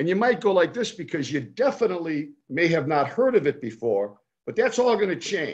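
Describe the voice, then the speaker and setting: A man speaks at a moderate pace with a fairly high pitch and vocal fry. His tone is animated and enthusiastic, with very wide pitch swings. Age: 70s. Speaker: foundation executive and fundraiser. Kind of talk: casual interview chat. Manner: animated, enthusiastic.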